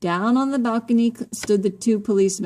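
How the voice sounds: Natural voice for reading aloud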